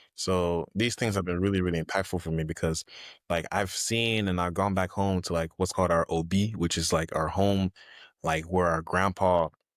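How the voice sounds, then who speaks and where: Speaking at a moderate pace with an American accent, the voice has a dry, close sound with no echo and very even loudness, captured on a very clean recording with a silent background. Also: man, very deep, low pitch for a man. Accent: Nigerian accent comes out when excited. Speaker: guest, real estate agent and educator. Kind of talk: casual chat. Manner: animated.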